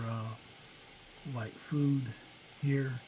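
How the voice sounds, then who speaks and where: A man with a medium pitch speaks at a fairly slow pace in a dark, mellow, relaxed tone, somewhat breathy, with fairly even intonation. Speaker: gaming video creator. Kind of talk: gameplay commentary. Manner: monotone; relaxed, hesitant with fillers.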